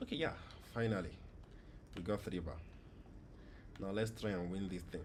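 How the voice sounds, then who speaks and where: Audible room echo surrounds a man speaking at a fairly quick pace. His pitch is fairly low, with ordinary pitch variation. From Nigeria. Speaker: gaming streamer. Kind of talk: live gameplay stream chat. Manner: casual, conversational.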